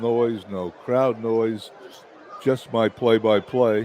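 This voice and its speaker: A man talks at a very slow pace while noticeable background noise carries on. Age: 70s. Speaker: simulated baseball play-by-play broadcaster. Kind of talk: live commentary; casual chat.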